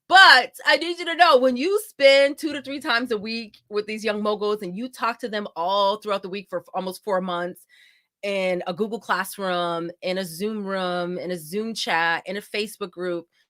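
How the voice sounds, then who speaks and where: The delivery is animated, with lively intonation, a bright, sharp tone and big swings in loudness at a moderate pace. The very clean recording has a silent background and a dry, close sound with no echo. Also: woman, medium pitch for a woman. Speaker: event host and company founder. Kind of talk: live event introduction. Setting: live virtual event stream.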